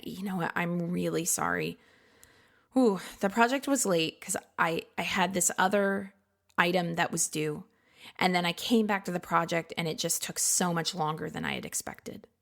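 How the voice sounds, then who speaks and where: A woman puts on a raspy character voice, fairly low in pitch. She talks at a moderate pace. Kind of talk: hesitant. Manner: apologetic, sorry.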